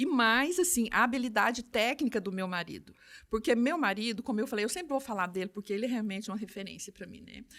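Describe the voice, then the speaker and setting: Very fast, lively speech with big swings in loudness, on a very clean recording with a silent background. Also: woman. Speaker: optical store owner. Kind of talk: podcast interview. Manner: animated.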